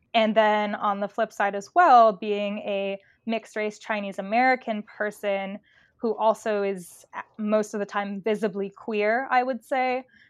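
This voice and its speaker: A woman's fairly high-pitched, normal speaking voice at a fairly slow pace, with a dry, close sound and no echo. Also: fairly even intonation. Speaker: drag king performer. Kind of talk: casual chat.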